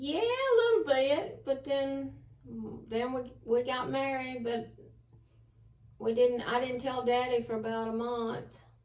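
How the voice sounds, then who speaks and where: A woman with a high pitch speaks very slowly in an Alabama accent. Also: fairly even intonation. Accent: Southern US (Alabama). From Southern United States. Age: 60s. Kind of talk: interview answer.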